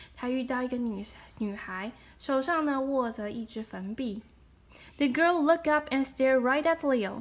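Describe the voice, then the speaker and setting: A woman with a Chinese accent speaks at a moderate pace in a high pitch, her loudness swinging widely while her pitch varies in an ordinary way. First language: Mandarin Chinese. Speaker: storyteller; storybook reader. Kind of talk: reading aloud. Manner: animated; halting. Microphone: phone near.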